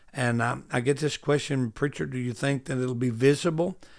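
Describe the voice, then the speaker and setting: A man with an Arkansas accent, fairly high-pitched, ordinary pitch variation, on a very clean recording with a silent background. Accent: Southern US (Arkansas). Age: 60s. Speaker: preacher, Bible teacher. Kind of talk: Bible study teaching.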